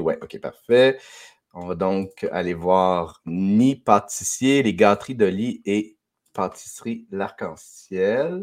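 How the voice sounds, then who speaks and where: A man's very deep, low voice in a Quebec accent with ordinary pitch variation, on a very clean recording with a silent background. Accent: Québécois French. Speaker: podcast host. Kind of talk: casual chat. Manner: halting.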